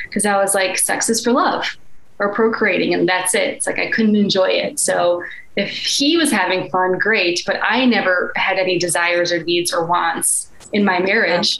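A woman at a medium pitch with an American accent, her loudness very even and her pitch variation ordinary, at a moderate pace amid noticeable background noise. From Chicago, US Midwest. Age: 30s. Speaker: life and energy coach. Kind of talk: casual interview chat.

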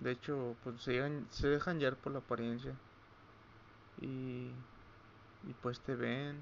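A man talks in a medium pitch with fairly even intonation. He leaves long, frequent pauses. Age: 20s. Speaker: podcaster. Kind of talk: personal monologue. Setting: at home late at night. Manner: halting.

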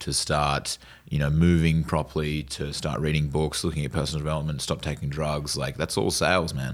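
A man with an Australian accent and a very deep, low pitch speaks at a moderate pace with monotone, flat intonation. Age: 20s. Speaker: door-to-door sales manager and podcast host. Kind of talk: casual interview chat.

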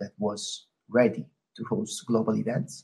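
Somewhat breathy and dark and mellow in tone, a man speaks with lively intonation. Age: 40s. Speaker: sports event operations manager. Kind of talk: interview. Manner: hesitant, many fillers.

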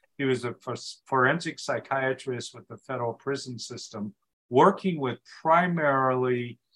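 A man talks at a moderate pace in an ordinary speaking voice. His pitch is medium, with ordinary pitch variation. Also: big swings in loudness. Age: 60s. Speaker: speaking coach and author. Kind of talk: interview conversation.

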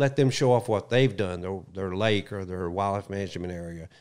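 With a Southern US accent, a man talks using ordinary pitch variation. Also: very clean recording, silent background. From US South. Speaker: retired wildlife agency spokesman. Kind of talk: casual chat. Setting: studio.

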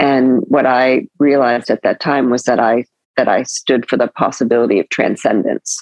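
In an American accent, a woman speaks at a moderate pace with a very deep, low pitch, monotone, flat intonation and very even loudness. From California. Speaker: podcast host. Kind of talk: interview.

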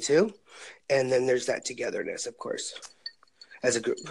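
This is a man speaking. He has an American accent. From California. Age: 30s. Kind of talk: casual chat. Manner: excitable.

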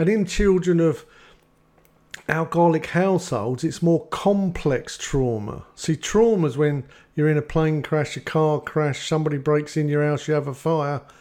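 A man with an English accent, a dark, mellow tone and ordinary pitch variation. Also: fairly high pitch for a man, moderate pace. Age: 50s. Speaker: addiction recovery counsellor. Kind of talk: casual chat.

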